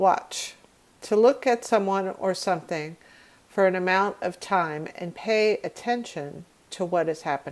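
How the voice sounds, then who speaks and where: A woman with a normal speaking voice, medium pitch, ordinary pitch variation and a fairly slow pace. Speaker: English teacher. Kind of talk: vocabulary lesson definitions read.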